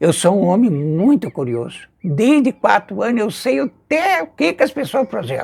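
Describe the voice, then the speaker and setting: Pitched high, a man talks with very wide pitch swings and hardly any pauses. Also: moderate pace. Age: 80s+. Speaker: folk healer (benzedor). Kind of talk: interview storytelling. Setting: outdoors on a house porch. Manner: animated.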